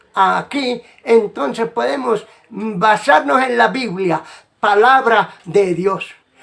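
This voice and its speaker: The voice belongs to a man with a high pitch. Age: 80s+. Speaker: evangelical preacher. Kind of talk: religious monologue. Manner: halting.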